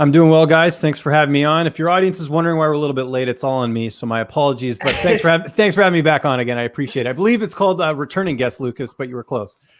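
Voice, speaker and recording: A man with a Canadian accent at a very fast pace, hardly any pauses, ordinary pitch variation. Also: fairly high pitch for a man. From Canada. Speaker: MMA journalist. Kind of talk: casual chat.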